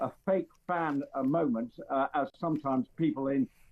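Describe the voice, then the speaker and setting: With an English accent, a man talks at a fairly high pitch with ordinary pitch variation. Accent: received pronunciation. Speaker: royal commentator. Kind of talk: casual chat. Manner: halting, many fillers.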